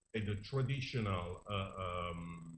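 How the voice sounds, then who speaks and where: A somewhat breathy man's voice with audible room echo. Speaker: archaeologist presenting research. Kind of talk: conference presentation. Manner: hesitant, many fillers.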